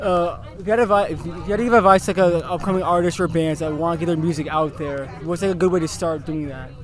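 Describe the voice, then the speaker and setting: A high-pitched man at a very fast pace with hardly any pauses, fairly even intonation and noticeable background noise. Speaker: interviewer. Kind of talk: interview questions.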